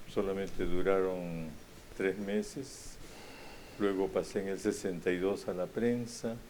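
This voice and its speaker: A man speaks at a fairly slow pace with a fairly low pitch. His tone is dark and mellow, and his intonation fairly even. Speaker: retired journalist. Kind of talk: conversational interview.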